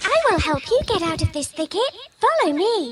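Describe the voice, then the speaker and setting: A squeaky, put-on character voice at an extremely high pitch, delivered at a moderate pace. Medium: read story. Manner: gentle, polite.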